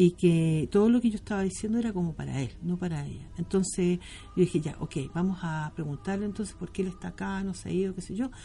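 With music playing in the background, a woman with a Chilean accent speaks at a moderate pace, her fairly low voice showing ordinary pitch variation. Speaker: tarot reader. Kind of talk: interview.

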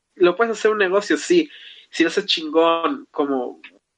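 The man's voice is high-pitched, with ordinary pitch variation. He talks at a moderate pace. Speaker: podcast host. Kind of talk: casual chat.

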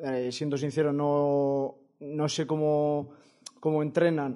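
A man is speaking. His pitch is fairly high. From Basque Country, Vitoria. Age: 20s. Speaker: football coach and author. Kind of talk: interview. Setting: studio. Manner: halting.

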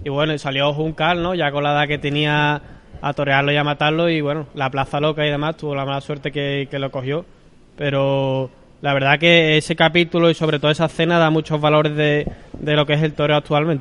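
The man's fairly high voice stays monotone, with flat intonation. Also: fairly quick pace. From Seville, Andalusia. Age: 20s. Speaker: novice bullfighter. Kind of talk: interview. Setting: restaurant.

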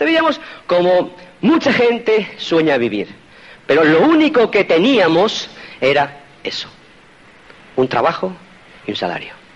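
The speaker has a Spanish accent and an animated tone, with very wide pitch swings, a fairly slow pace and long, frequent pauses, over noticeable background noise. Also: man, high pitch for a man. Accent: Spain Spanish. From Spain. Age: 50s. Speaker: motivational speaker. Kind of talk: motivational talk.

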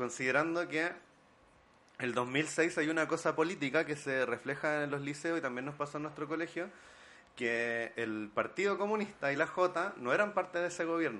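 At a moderate pace, a man with a Chilean accent speaks in a bright, sharp tone with a fairly high pitch and ordinary pitch variation. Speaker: film director and film teacher. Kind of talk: casual chat.

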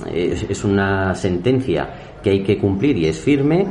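A man's fairly low voice at a moderate pace with lively intonation, plus audible room echo and noticeable background noise. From Spain, Madrid region. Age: 40s. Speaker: mayor. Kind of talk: interview. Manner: hesitant with fillers.

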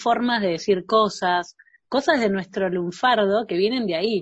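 A woman in a Rioplatense accent, at a fairly slow pace. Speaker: podcast host. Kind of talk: casual chat.

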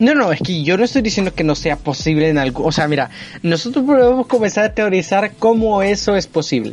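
A man talks rather quickly in a high register, his pitch leaping across a very wide range. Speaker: podcast co-host. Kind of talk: casual chat.

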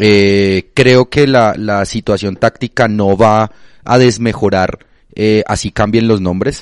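Recorded with a dry, close sound and no echo, a man with a fairly low pitch and fairly even intonation speaks at a very slow pace. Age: 20s. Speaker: football podcast co-host. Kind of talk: casual chat.

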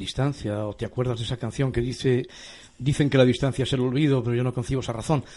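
A man with a dark, mellow tone and a somewhat breathy, medium-pitched voice talks at a very fast pace with fairly even intonation. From Spain. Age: 50s. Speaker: pastor and radio host. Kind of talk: radio talk show on faith.

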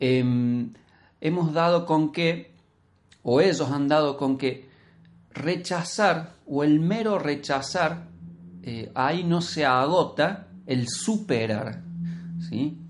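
A man with a fairly high pitch speaks at a very slow pace. His pitch varies in an ordinary way, and he leaves long, frequent pauses. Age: 40s. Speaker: podcast co-host, language teacher. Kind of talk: casual discussion podcast.

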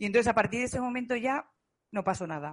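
A woman talks in a normal speaking voice. Her intonation is lively. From Spain, Zaragoza. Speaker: digital marketing student. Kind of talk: group interview.

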